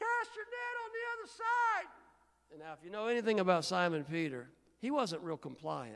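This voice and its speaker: The man talks at a moderate pace. His loudness swings widely. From Indiana, US Midwest. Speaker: guest preacher. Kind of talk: sermon. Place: church. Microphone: handheld.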